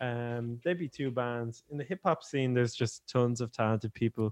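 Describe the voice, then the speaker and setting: Speaking with an Irish accent at a moderate pace, a man with a medium pitch sounds dry and close with no echo against a quiet background. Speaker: rapper. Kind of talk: casual chat.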